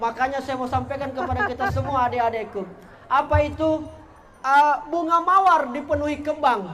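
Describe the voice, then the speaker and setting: Speaking at a fairly quick pace and an extremely high pitch, a man has a strong Bugis accent and an animated tone. Audible room echo and noticeable background noise fill the recording. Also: ordinary pitch variation. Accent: thick Bugis. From South Sulawesi, Indonesia (Bugis). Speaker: content creator and motivational speaker. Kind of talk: motivational talk to school students. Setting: school hall with student audience.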